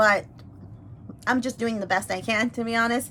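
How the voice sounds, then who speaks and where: A woman's bright, sharp tone at a moderate pace. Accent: Spanish. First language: Spanish. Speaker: YouTuber and language teacher. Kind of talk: casual mukbang chat. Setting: eating on camera. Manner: hesitant, many fillers.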